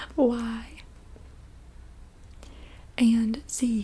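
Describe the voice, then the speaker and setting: The voice is soft-spoken with a calm tone. Noticeable background noise is present. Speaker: ASMR creator guiding calming exercises. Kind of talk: guided alphabet word game. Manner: soft-spoken, calm, reassuring.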